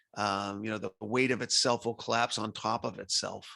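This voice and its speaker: Talking at a fairly quick pace, a man speaks at medium pitch with vocal fry. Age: 60s. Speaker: sports promotion company founder and CEO. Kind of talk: interview. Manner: halting.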